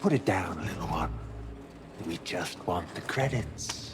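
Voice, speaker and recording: A man's put-on character voice, very deep and low in pitch, at a fairly slow pace with clear background noise. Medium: short film. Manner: polite, formal.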